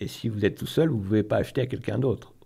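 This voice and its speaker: A man with lively intonation in a very clean recording with a silent background. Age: 60s. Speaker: local currency association co-president, former math teacher. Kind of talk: radio interview. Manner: hesitant, many fillers and repetitions.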